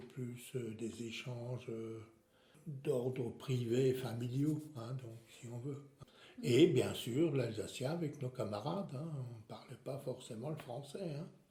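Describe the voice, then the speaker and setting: A man speaks at a very slow pace and a medium pitch, with ordinary pitch variation and big swings in loudness. Noticeable background noise and audible room echo surround him. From Alsace, France. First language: Alsatian (speaking French). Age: 70s. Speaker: retiree. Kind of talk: interview. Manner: hesitant, many fillers.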